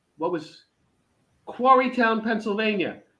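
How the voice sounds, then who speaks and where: In a raised, projected voice, a man with a high pitch and a bright, sharp tone speaks at a very slow pace against a quiet background. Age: 50s. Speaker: veteran pro wrestler and teacher; podcast guest. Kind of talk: casual interview chat. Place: home room. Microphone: video call.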